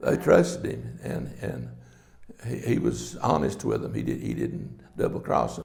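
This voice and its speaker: In an Appalachian accent, a man talks at a fairly slow pace, with audible room echo. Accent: Appalachian Southern US. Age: 80s+. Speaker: son of former sheriff, interviewee. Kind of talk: oral history interview.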